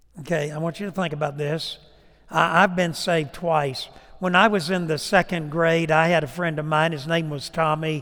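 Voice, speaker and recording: A man speaks in a plain, everyday voice at a fairly high pitch. His intonation is fairly even and his pace moderate. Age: 60s. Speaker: preacher. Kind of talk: sermon with an altar-call invitation. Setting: church.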